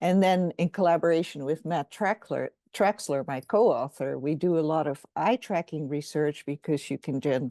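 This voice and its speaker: At a fairly slow pace, the speaker uses lively intonation and a dark, mellow tone, recorded dry and close with no echo against a quiet background. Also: woman. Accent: Dutch. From Netherlands. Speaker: professor. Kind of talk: interview.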